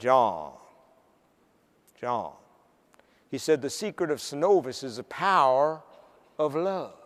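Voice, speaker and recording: Putting on a character voice with a Southern US accent, a man drawls at a fairly slow pace and fairly high pitch, with long, frequent pauses. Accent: Southern American. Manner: drawling.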